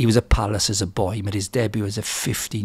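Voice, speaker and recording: A somewhat breathy man with a fairly low pitch, fairly even intonation and a fairly quick pace. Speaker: podcast interviewer. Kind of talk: podcast introduction. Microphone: studio mic.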